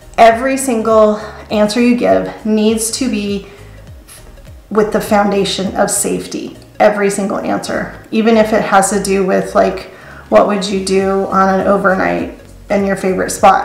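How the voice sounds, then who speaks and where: Music plays in the background as a woman speaks at a medium pitch. Audible room echo surrounds her voice. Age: 50s. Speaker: flight attendant. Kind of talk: tutorial. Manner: hesitant fillers.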